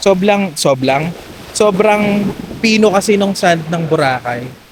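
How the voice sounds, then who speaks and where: Fairly slow pace and very wide pitch swings amid noticeable background noise. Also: man. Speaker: travel vlogger. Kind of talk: casual vlog narration. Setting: outdoors on a beach. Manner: animated; loud. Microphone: no mic, camera mic only.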